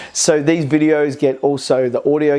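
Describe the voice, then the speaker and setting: With an Australian accent, a man is talking. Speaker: business coach. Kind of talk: to-camera vlog talk. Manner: fast.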